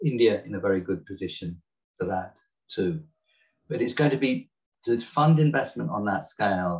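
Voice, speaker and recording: A man's somewhat breathy voice with a British accent, very wide pitch swings and a moderate pace. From Britain. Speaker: climate economist. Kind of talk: webinar talk. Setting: video call.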